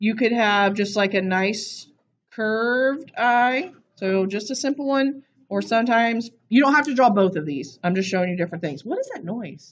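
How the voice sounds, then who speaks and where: Lively intonation runs through a woman's fairly high voice. It is an ordinary speaking voice at a moderate pace. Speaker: art teacher. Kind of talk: classroom lesson.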